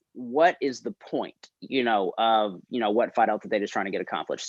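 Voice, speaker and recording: A man with a North Carolina accent speaks at a fairly quick pace and a medium pitch. The sound is dry and close with no echo, over a quiet background. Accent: Southern US (North Carolina). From North Carolina, Winston-Salem. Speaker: fraternity expansion consultant, guest speaker. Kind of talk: presentation to student senate. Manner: casual, many fillers.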